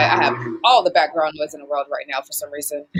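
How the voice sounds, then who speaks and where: A woman's voice sits very deep and low in pitch, with noticeable background noise behind it. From Boston, Massachusetts. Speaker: live show host. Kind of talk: casual interview.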